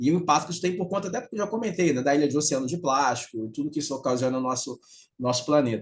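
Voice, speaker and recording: A man with a fairly high pitch talks at a very fast pace in a somewhat breathy voice. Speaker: CEO and author giving a talk on circular economy. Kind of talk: remote lecture. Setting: video call. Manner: nonstop talking.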